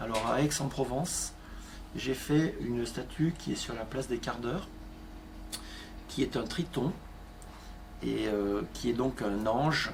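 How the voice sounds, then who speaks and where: Vocal fry runs through speech delivered at a fairly slow pace with ordinary pitch variation. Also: man. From southern France, Avignon. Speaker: art metal restorer, craftsman. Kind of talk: interview. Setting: workshop.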